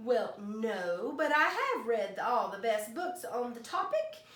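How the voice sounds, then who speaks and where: In a put-on character voice, a woman speaks fairly slowly at a high pitch with a slight echo. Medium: read story. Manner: polite, mild.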